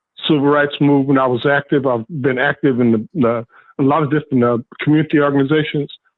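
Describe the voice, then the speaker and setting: A fairly high-pitched man at a very fast pace. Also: fairly even intonation. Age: 70s. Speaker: caller. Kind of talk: call-in comment.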